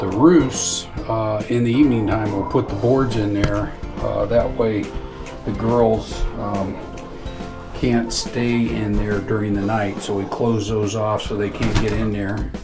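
Clear music plays behind a man with a fairly low pitch. He talks at a fairly slow pace with fairly even intonation. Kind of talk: casual tour commentary. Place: farm machine. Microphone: phone near.

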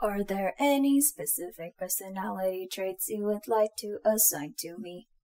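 A woman performs a put-on, robotic character voice at medium pitch. She keeps a moderate pace with hardly any pauses. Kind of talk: audio roleplay. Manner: formal, mechanical.

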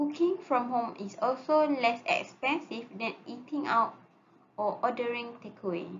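The pace is fairly slow, with ordinary pitch variation. Light background noise can be heard. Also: woman, high pitch for a woman. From Malaysia. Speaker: student; presenter. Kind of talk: class presentation. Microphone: webcam.

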